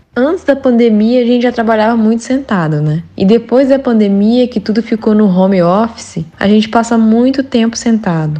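Somewhat breathy, a woman talks at a fairly high pitch with a dark, mellow tone. She keeps a moderate pace with hardly any pauses and very even loudness. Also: ordinary pitch variation. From Brazil, Andradina, São Paulo interior. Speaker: running coach. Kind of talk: interview, giving running tips.

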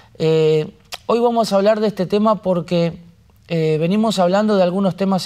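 At a fairly slow pace, a man with a Rioplatense accent speaks at a high pitch with fairly even intonation on a very clean recording with a silent background. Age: 40s. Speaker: pastor. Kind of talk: sermon.

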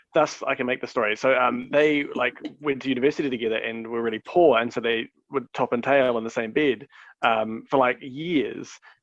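A man with an unremarkable speaking voice talks at a fairly quick pace, his medium pitch held to a fairly even intonation. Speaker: podcast co-host. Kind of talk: casual chat.

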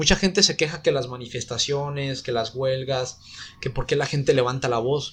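A man with a Mexican accent, at a moderate pace. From Mexico, Guadalajara. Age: 20s. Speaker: university program coordinator. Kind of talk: casual interview.

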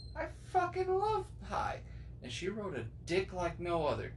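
A man's voice with audible room echo. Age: 20s. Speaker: podcast host. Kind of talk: casual chat. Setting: living room recording.

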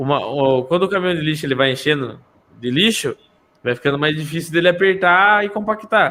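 A man with a fairly high pitch talks fairly quickly, his intonation lively. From interior of São Paulo state, Brazil. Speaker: gravedigger. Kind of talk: casual chat.

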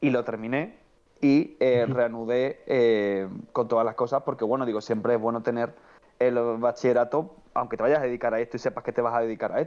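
Fairly quick in pace, a man with a plain, everyday voice speaks at a medium pitch with fairly even intonation. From Andalusia, Cádiz (El Puerto de Santa María). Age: 20s. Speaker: film commentator, online film critic. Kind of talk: casual chat.

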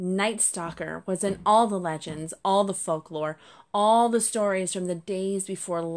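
The reading voice is unforced. Its pitch moves in an ordinary way.

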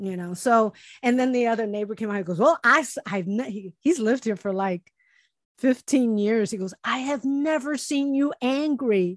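A woman with an American accent and an ordinary speaking voice, fairly high in pitch, at a moderate pace with lively intonation, in a dry, close sound with no echo and a quiet background. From US city neighborhood, grew up poor. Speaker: podcast co-host. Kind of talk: casual chat. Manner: laughs often.

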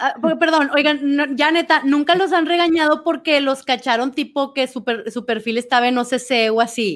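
A high-pitched woman talks with hardly any pauses on a very clean recording with a silent background. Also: ordinary pitch variation, moderate pace. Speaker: podcast co-host. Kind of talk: casual chat.

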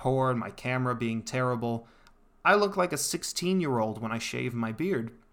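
In a very clean recording with a silent background, a man talks at a moderate pace and medium pitch with lively intonation. His is an unremarkable speaking voice. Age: 20s. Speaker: podcast host. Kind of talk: solo monologue podcast. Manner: casual, conversational.

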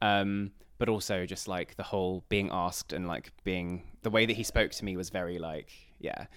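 On a very clean recording with a silent background, a man with an English accent speaks at a moderate pace with a very deep, low pitch. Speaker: podcast co-host. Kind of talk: casual chat. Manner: animated.

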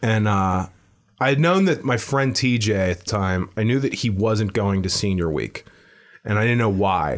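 With an American accent, this unremarkable speaking voice moves at a moderate pace, with very even loudness and ordinary pitch variation. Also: man, fairly low pitch for a man. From Pittsburgh, Pennsylvania. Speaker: stand-up comedian. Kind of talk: casual chat.

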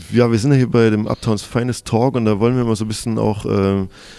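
A man with a medium pitch and a dark, mellow tone talks at a very fast pace. His intonation stays fairly even. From Chemnitz, Saxony, Germany. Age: 30s. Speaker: podcast host and DJ. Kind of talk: casual interview chat. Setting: hotel lobby.

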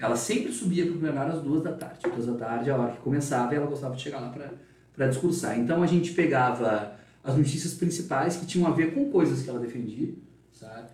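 A man talks at a very fast pace with ordinary pitch variation. The room echo is audible. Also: fairly high pitch for a man. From Rio Grande do Sul, Brazil (Dom Pedrito, Capão da Canoa). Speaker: journalist. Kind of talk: interview. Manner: talkative.

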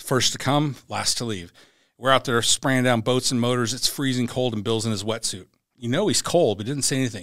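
In an unremarkable speaking voice, a man with an American accent talks at a fairly quick pace with medium pitch and ordinary pitch variation on a very clean recording with a silent background. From Central Washington State, US. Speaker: former Navy SEAL, security company leader. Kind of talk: interview, casual chat.

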